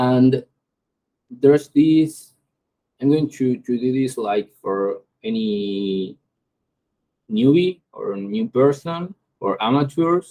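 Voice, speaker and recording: Speaking very slowly with long, frequent pauses, a man with a non-native accent talks at a medium pitch in a dry, close sound with no echo. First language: Spanish. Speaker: AI start-up founder. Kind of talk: tutorial. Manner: halting.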